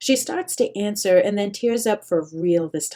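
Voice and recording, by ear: The reading is done aloud in a natural voice. Its intonation is lively.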